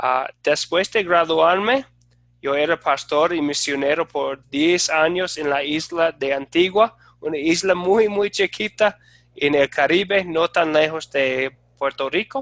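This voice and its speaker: Speaking at a very slow pace, a man with an American accent has a fairly high pitch and ordinary pitch variation. The sound is dry and close with no echo. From United States. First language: English (speaking Spanish). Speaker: Bible teacher, former pastor and missionary. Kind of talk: online class introduction. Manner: halting, with many fillers.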